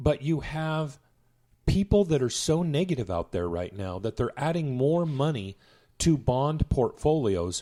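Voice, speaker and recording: On a very clean recording with a silent background, a man with a dark, mellow tone speaks at a fairly slow pace with very wide pitch swings. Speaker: investment podcast host. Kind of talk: casual chat.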